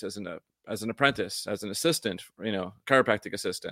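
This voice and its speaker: A man with an upstate New York accent talks at a very fast pace in a bright, sharp tone. The recording is very clean and dry, close with no echo and a silent background. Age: 50s. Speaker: acupuncturist and video platform co-owner. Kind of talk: casual interview chat.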